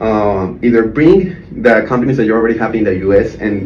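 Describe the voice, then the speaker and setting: A man's medium-pitched voice with a Spanish accent at a moderate pace, with noticeable background noise and audible room echo. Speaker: entrepreneur. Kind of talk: job pitch video. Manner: halting, repeats words.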